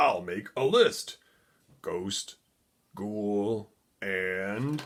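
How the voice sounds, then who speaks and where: A man puts on a character voice pitched fairly low. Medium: read story.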